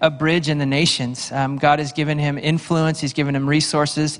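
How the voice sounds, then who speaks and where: Over a quiet background, a man speaks fairly quickly in a monotone, flat intonation. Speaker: pastor introducing a guest speaker. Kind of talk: announcements and introduction to a congregation. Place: church. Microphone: handheld.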